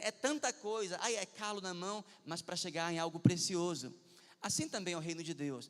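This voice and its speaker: At a moderate pace, a man talks in a high pitch. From Brazil, Pará (Santarém). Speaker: pastor. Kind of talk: sermon.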